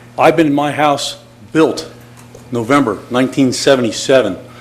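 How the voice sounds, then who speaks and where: Over noticeable background noise, a man with a fairly high pitch speaks at a moderate pace in fairly even intonation. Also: long, frequent pauses. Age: 60s. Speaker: retired army engineer, resident speaking at public comment. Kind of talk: public comment at city commission meeting. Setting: city commission meeting. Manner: emotional, halting with repetitions.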